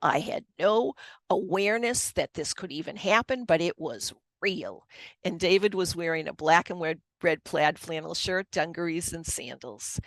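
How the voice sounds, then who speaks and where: In a dry, close sound with no echo and a quiet background, a woman with a Boston accent speaks at a fairly slow pace and fairly low pitch, her intonation lively and her loudness swinging widely. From Boston area, US. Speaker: author and Reiki master. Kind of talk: personal testimony in interview.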